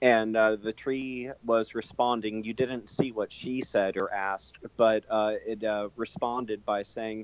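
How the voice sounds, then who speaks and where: A man's medium-pitched voice at a moderate pace with fairly even intonation. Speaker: horror author. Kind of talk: casual chat. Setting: Skype call.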